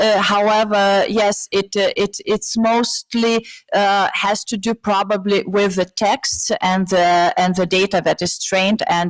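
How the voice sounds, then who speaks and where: The sound is dry and close, with no echo. A woman speaks at medium pitch and a fairly slow pace with monotone, flat intonation. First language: not English, a heavily gendered language. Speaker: AI expert panelist. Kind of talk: conference panel answer. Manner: halting, many fillers.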